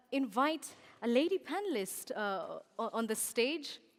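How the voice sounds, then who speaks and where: This is a woman speaking. She talks with a Kenyan accent. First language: Kikuyu. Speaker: event moderator. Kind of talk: conference stage hosting.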